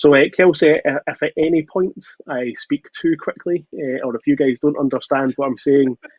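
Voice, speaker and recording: With a Scottish accent, a man of medium pitch speaks at a fairly quick pace with ordinary pitch variation. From Scotland, Glasgow. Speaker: solutions architect. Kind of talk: webinar presentation. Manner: fast.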